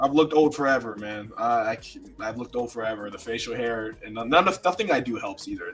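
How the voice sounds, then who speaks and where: A man speaks at a fairly quick pace in a medium pitch, with noticeable background noise behind him. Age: 20s. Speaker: music producer and songwriter. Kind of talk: casual chat. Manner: animated.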